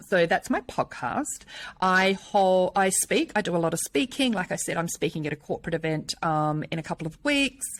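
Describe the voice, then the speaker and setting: With a New Zealand accent, a woman talks at a medium pitch with lively intonation. The sound is dry and close, with no echo. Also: moderate pace. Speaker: menopause speaker and personal trainer. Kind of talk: podcast interview.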